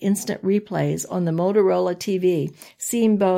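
What we hear is an unforced reading voice.

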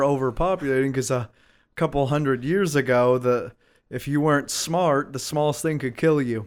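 A man with an ordinary speaking voice, fairly high pitch, fairly even intonation and a moderate pace, on a very clean recording with a silent background. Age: 20s. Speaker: podcast host. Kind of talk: casual chat.

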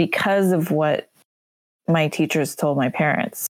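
This woman has a very deep, low pitch. She speaks with an American accent. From Los Angeles, Korean American. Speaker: podcast co-host. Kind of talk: casual chat.

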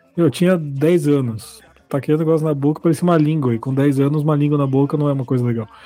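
A man's very fast, fairly high-pitched speech with fairly even intonation and music in the background. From São Bernardo do Campo, São Paulo, Brazil. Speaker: podcast co-host. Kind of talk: casual chat.

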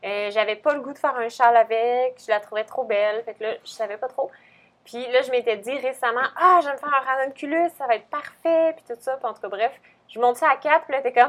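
A woman talks at a fairly quick pace in a high pitch with ordinary pitch variation. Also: big swings in loudness. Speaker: podcast co-host, knitting shop staff. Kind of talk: casual chat.

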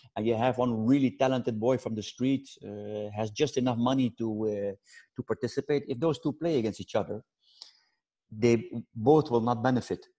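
At a moderate pace, a man speaks in a dark, mellow tone of medium pitch with fairly even intonation, the sound dry and close with no echo against a quiet background. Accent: Dutch. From Netherlands. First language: Dutch. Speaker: football coach. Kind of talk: interview. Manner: halting.

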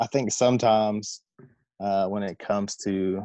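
Fairly low male voice with an American accent, dry and close with no echo, over a quiet background. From US South, Southwest Virginia. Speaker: air force tech sergeant. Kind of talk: casual interview.

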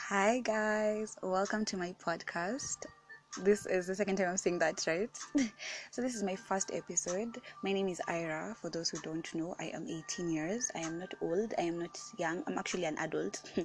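Over music in the background, a woman talks at medium pitch and a moderate pace with ordinary pitch variation. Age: 18. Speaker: podcast host. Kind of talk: casual, chatty.

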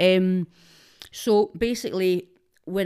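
A woman with a Scottish accent speaks in a fairly low voice with a dark, mellow tone. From Glasgow East End, Scotland. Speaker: social media personality. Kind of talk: casual chat.

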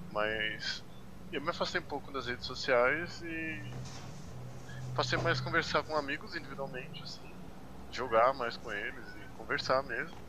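A man's fairly high voice at a moderate pace, with ordinary pitch variation and long, frequent pauses. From São Paulo area, Brazil. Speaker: psychology student, hospital worker. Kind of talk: casual panel chat.

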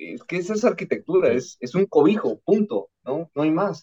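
A man speaks at a moderate pace. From Mexico, Veracruz. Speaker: architect. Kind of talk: podcast interview.

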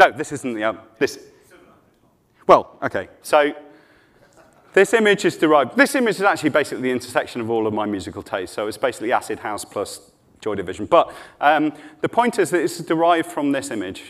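Talking very fast with vocal fry, a man has a fairly high pitch and very wide pitch swings. His speech is broken by long, frequent pauses. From northwest England. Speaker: leadership coach. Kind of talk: conference talk.

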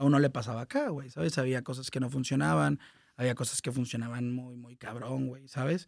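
Very fast speech from a man, very clean audio, silent backdrop. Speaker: music manager and entertainment consultant. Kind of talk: casual chat.

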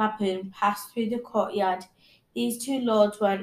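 A natural reading voice is heard here.

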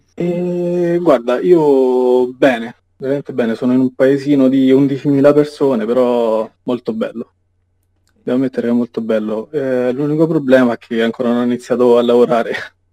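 At a moderate pace, a man talks in a dark, mellow tone at medium pitch with ordinary pitch variation. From central Italy, Rieti. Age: 20s. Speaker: cook, meme page admin. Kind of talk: casual chat.

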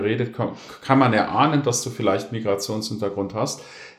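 In a room with audible echo, a man talks at a moderate pace, somewhat breathy, with ordinary pitch variation. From Germany, Konstanz. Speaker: historian, teacher and coach. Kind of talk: casual discussion. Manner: articulate, formal.

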